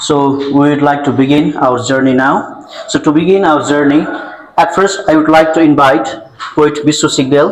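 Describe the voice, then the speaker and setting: In a Nepali accent, a man with a fairly high voice talks with fairly even intonation amid audible room echo and noticeable background noise. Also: moderate pace, very even loudness. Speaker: event host. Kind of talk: formal event introduction. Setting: stage with audience. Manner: formal.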